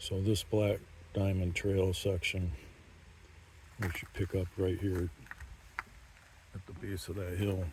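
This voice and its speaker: The voice has a dark, mellow tone and is somewhat breathy. It moves at a moderate pace with monotone, flat intonation. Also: man. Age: 60s. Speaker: mountain biker. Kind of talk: trail review talk. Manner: casual with fillers.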